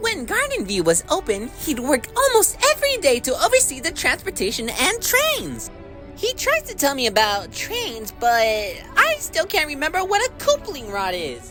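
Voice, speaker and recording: A put-on character voice, high-pitched, at a moderate pace, with clear music in the background. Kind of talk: fan-made character voice acting. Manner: chatty, conspiratorial.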